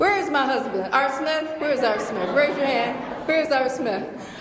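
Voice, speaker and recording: With an American accent, the speaker uses ordinary pitch variation over noticeable background noise and audible room echo. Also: woman. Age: 60s. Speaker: professor. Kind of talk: Q&A after a lecture. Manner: animated.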